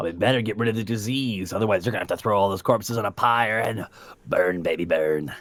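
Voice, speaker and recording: Putting on a raspy character voice, a man speaks at a very fast pace and fairly low pitch. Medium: actual play. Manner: rambling, casual, salesman-like.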